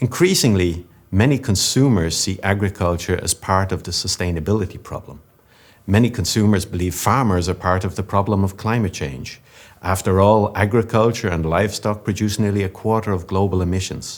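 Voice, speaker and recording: In a Dublin accent, a man talks at a fairly quick pace. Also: fairly low pitch for a man, ordinary pitch variation. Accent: Irish (Dublin). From Ireland, Dublin. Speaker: business executive. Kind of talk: conference keynote speech. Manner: formal.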